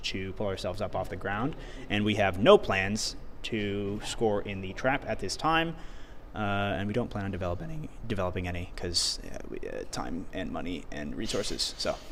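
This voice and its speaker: A man talks at a fairly quick pace in a fairly low pitch with ordinary pitch variation. Audible room echo surrounds his voice. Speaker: robotics team member streamer. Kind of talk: live stream explanation. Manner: loud.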